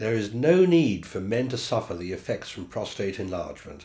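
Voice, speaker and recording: A somewhat breathy man with a British accent, very wide pitch swings and a moderate pace. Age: 70s. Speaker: patient giving a testimonial. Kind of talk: testimony. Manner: formal.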